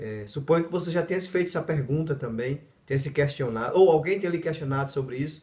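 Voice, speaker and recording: A man at a very fast pace with lively intonation. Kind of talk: video monologue.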